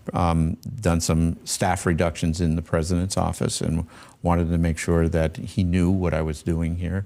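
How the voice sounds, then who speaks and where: A man's very deep, low voice, dark and mellow in tone, at a moderate pace, with very even loudness and monotone, flat intonation. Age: 70s. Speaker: university president. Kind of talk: TV interview. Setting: studio. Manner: halting, many fillers.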